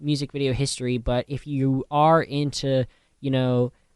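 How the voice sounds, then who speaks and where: A man speaks at a moderate pace in a plain, everyday voice, pitched fairly high. The sound is dry and close, with no echo. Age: 20s. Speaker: college radio DJ. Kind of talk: radio music show talk. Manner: casual, filler-heavy.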